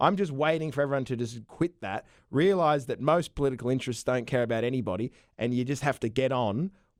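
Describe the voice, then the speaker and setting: Talking at a very fast pace, a man with an Australian accent uses a medium pitch and ordinary pitch variation. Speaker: comedian. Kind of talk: casual podcast conversation.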